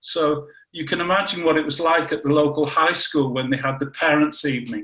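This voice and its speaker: A man with a northern English accent speaks at a fairly quick pace. His pitch is fairly high, and his intonation stays fairly even. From northern England, Warrington. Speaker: cancer biology scientist. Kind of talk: interview.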